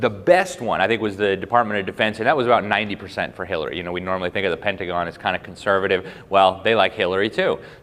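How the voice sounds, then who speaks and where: Over noticeable background noise, a man talks at a very fast pace with hardly any pauses, his fairly low voice held to fairly even intonation. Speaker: journalist and public speaker. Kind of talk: speech to a live audience.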